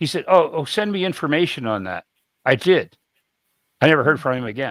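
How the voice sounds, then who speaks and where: A fairly high-pitched man's voice with vocal fry and lively intonation at a fairly quick pace, on a very clean recording with a silent background. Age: 70s. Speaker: soil scientist. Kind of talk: podcast interview.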